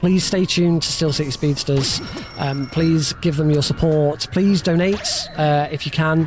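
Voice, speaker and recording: Over noticeable background noise, a man with a fairly high voice talks at a fairly slow pace with fairly even intonation. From United Kingdom. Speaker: speedrunner. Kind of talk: live gameplay commentary. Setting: live charity stream. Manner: hesitant, many fillers.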